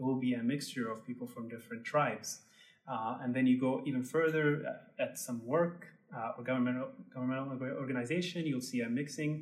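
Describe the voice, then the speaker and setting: Noticeable background noise sits behind this man. He has an Arabic accent and a medium pitch. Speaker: tour guide and Instagram creator. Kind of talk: casual interview.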